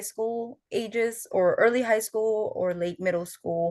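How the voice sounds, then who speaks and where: In a Filipino accent, a woman talks with fairly even intonation against a quiet background. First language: Tagalog. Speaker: student fellow, oral historian. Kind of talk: panel interview.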